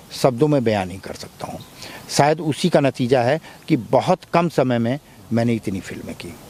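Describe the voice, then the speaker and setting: A man's voice, dry and close with no echo, over noticeable background noise. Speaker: film actor. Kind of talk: interview.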